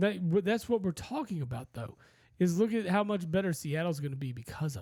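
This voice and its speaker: A man with a high-pitched voice and a dark, mellow tone talks at a fairly quick pace, his loudness swinging widely. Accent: American. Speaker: sports podcast co-host. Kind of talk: casual chat.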